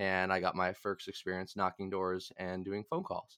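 In a very clean recording with a silent background, a man with an American accent talks at a fairly low pitch. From Massachusetts. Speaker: podcast host, student political organizer. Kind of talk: casual political discussion.

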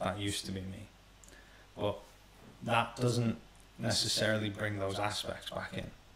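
Amid noticeable background noise, a man with a fairly low pitch speaks at a moderate pace with fairly even intonation. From Iran. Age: 30s. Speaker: emotional healing coach. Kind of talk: casual chat.

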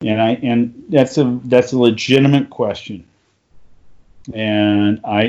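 He has an unremarkable speaking voice at medium pitch. His intonation is fairly even. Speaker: podcast co-host. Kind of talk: casual chat.

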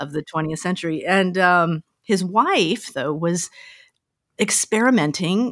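An unremarkable speaking voice with an American accent goes at a fairly slow pace with ordinary pitch variation, sounding dry and close with no echo. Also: woman, fairly low pitch for a woman. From Colorado, US. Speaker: violinist and music teacher. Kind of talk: interview.

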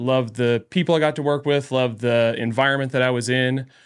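A man's normal speaking voice at medium pitch, fairly quick in pace, with fairly even intonation. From Northern California (Trinity County, Redding). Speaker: physical therapist and business owner. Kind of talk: casual interview.

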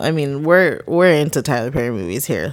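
The delivery is animated in tone, with lively intonation and a fairly quick pace. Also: woman. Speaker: podcast host. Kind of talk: casual chat. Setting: podcast recording. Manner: profane, casual, animated.

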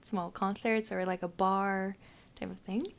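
The speaker talks with a Japanese accent. The intonation stays monotone and flat. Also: woman. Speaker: international exchange student. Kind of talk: casual interview. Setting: studio.

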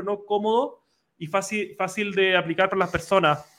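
A man uses a raised, projected voice with a high pitch and a bright, sharp tone. His intonation stays fairly even. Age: 20s. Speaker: podcast host. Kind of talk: interview.

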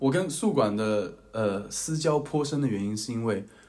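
This man talks at a fairly slow pace in a medium pitch. Some room echo can be heard. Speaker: podcast co-host, university student. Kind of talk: casual chat.

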